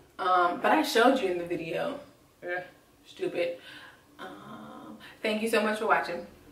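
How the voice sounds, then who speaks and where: Amid noticeable background noise and audible room echo, a woman of medium pitch talks at a moderate pace with lively intonation, big swings in loudness, and long, frequent pauses. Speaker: beauty vlogger. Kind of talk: makeup tutorial.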